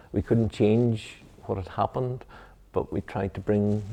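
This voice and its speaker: A man with a Mid-Ulster accent speaks against a quiet background. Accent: Mid-Ulster Northern Irish. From Northern Ireland, County Tyrone. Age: 60s. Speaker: Presbyterian minister. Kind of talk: interview. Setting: church. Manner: halting, many fillers.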